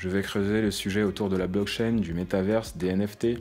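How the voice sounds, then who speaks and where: At a fairly quick pace, a man talks with fairly low pitch and fairly even intonation. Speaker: web developer and YouTuber. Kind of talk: casual vlog talk to camera. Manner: conversational, with filler hesitations.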